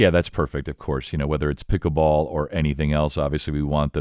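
Speaking at a very fast pace, a man talks in a very deep, low pitch. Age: 50s. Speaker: podcast host. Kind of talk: interview.

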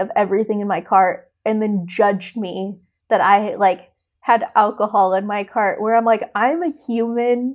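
In an ordinary speaking voice with an American accent, a woman talks at a fairly slow pace and fairly high pitch with ordinary pitch variation, on a very clean recording with a silent background. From US Midwest. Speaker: teacher and adoptee sharing her story. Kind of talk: personal testimony in interview. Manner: casual, many fillers and laughs.

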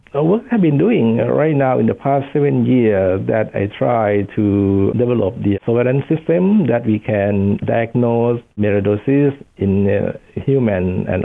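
A man at medium pitch with a Thai accent, fairly slow pace, lively intonation, very even loudness and hardly any pauses. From Thailand. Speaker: professor of infectious disease. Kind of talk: interview.

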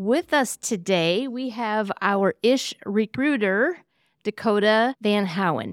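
A woman's fairly high voice with an American accent and lively intonation, very slow in pace, dry and close with no echo, on a very clean recording with a silent background. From Iowa. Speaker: podcast host. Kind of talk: casual chat.

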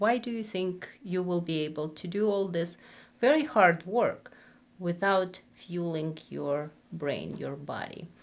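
A woman speaks very slowly in an Eastern European accent. Her pitch is fairly low, with ordinary variation. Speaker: psychiatric nurse practitioner.

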